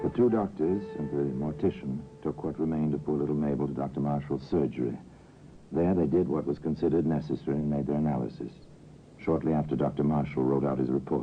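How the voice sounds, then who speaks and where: A man speaks very fast in a very deep, low voice with vocal fry. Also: fairly even intonation. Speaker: radio narrator. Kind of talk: old-time radio drama narration.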